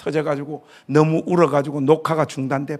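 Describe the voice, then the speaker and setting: A man speaks at a fairly quick pace in a fairly high voice. His tone is animated. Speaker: pastor, guest revival speaker. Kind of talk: sermon. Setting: church revival meeting with congregation.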